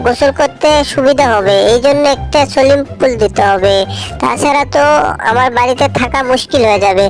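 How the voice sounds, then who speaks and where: A woman's put-on character voice, high in pitch and at a moderate pace, over clear music in the background. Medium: fan dub.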